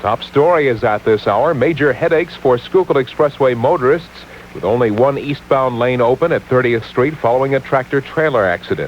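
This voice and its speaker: A man with a medium pitch talks at a fairly quick pace against noticeable background noise. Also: ordinary pitch variation. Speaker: news anchor. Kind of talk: radio newscast read.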